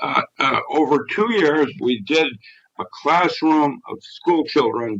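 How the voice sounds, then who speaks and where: A man's voice, fairly high in pitch. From Philippines. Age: 70s. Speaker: scientist. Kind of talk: interview. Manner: halting.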